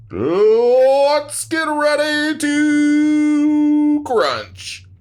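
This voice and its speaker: Putting on a character voice, a man pitches his speech extremely high. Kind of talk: announcer.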